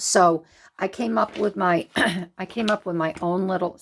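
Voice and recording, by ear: Using a put-on character voice, a woman speaks raspy and hoarse at a medium pitch, with lively intonation and a moderate pace, in a very clean recording with a silent background.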